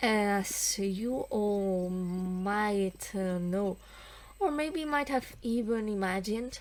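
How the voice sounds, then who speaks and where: At a very slow pace, a woman with a non-native accent speaks in very even loudness. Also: medium pitch for a woman, ordinary pitch variation. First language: not English. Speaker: let's play gamer. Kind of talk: gameplay commentary with reading dialogue aloud. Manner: hesitant, many fillers.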